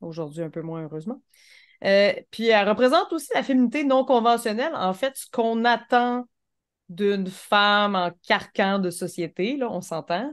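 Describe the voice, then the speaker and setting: Lively in intonation, a woman with an ordinary speaking voice and a fairly high pitch talks at a moderate pace with big swings in loudness. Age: 30s. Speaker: podcast co-host. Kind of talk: casual chat.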